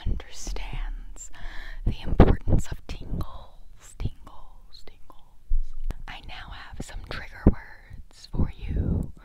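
A woman speaks at a very slow pace in a dry sound with no echo, against loud background noise. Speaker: parody ASMR creator. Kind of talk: casual vlog chat. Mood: joking, deadpan humor. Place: home room. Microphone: earbuds.

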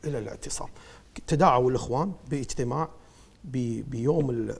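Here a man talks at a moderate pace with ordinary pitch variation. His voice is fairly high and somewhat breathy. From Kuwait. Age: 40s. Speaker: politician and lawyer; election candidate. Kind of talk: TV interview. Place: studio. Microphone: lapel.

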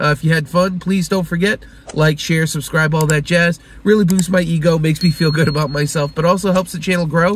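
A man speaks at a high pitch with fairly even intonation. The sound is dry with no echo, with light background noise. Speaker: card collecting vlogger. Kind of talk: casual vlog chat. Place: car. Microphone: phone near.

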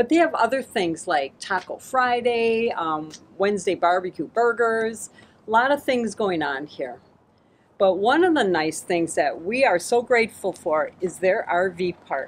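Over light background noise, a woman talks at a fairly slow pace. Her pitch swings very widely. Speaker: RV travel vlogger. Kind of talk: casual vlog chat. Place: street.

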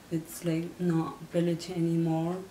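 A woman with a fairly low pitch speaks in a monotone, flat intonation, with light background noise and audible room echo. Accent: Nepali. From Nepal, Langtang Valley. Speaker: earthquake victims' relative. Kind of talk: interview answer. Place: home room.

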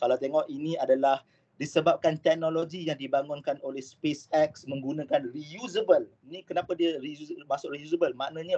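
A man's pitch varies in an ordinary way as he talks at a moderate pace. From Malaysia. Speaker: aerospace engineering lecturer; university lecturer presenting. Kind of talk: online lecture. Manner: hesitant with fillers. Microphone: video call.

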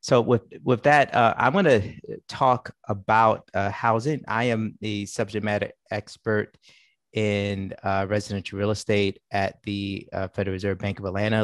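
Against a quiet background, a man talks at a moderate pace and fairly low pitch with fairly even intonation, the sound dry with no echo. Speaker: central bank policy analyst. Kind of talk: expert presentation. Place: home room. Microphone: headset.

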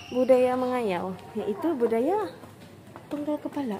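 Noticeable background noise sits behind a woman's voice. She speaks at a moderate pace with very wide pitch swings. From Sabah, Malaysia. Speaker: vlogger. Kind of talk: casual vlog talk to camera. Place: hall. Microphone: phone near.

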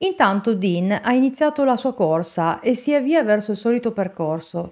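A woman's fairly high-pitched voice, serious in tone, with very wide pitch swings and a quiet background. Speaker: true crime narrator. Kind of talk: true-crime narration. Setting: studio, solo video narration. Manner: measured, serious storytelling. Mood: serious, suspenseful. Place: home room. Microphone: studio mic.

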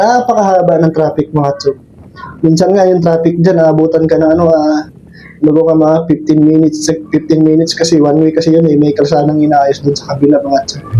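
Through noticeable background noise, a man speaks with a fairly high pitch and fairly even intonation. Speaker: motorcycle vlogger. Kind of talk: vlog monologue while riding. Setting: outdoors on a motorbike on the road. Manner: casual, rambling, friendly.

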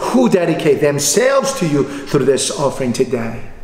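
Amid light background noise and audible room echo, a man talks at a moderate pace with very wide pitch swings. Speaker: pastor. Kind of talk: sermon. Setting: online livestreamed church service. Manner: formal. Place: church. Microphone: podium.

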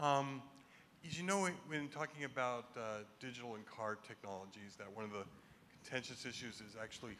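Through light background noise, a man with a bright, sharp tone speaks at a fairly quick pace with ordinary pitch variation. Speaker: audience member asking questions; audience member. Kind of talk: audience Q&A. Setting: microphone in live audience. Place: hall. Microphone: handheld.

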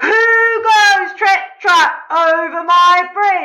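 In a put-on character voice, someone growls at an extremely high pitch and a very slow pace. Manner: growling.

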